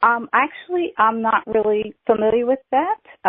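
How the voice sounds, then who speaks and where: A woman speaks at a fairly slow pace with a Southern US accent. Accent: Southern US twang. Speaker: author. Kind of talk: teleseminar Q&A.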